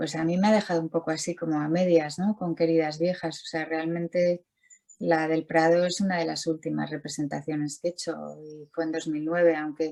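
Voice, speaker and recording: The voice has a dark, mellow tone and monotone, flat intonation, delivered at a fairly quick pace. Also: woman, fairly low pitch for a woman. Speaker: visual artist. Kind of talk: interview. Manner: halting, many repetitions.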